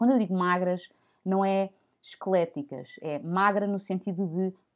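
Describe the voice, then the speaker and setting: A woman speaks in an ordinary speaking voice at medium pitch. Her pitch varies in an ordinary way at a fairly slow pace. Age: 30s. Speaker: podcast host. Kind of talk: informal health talk.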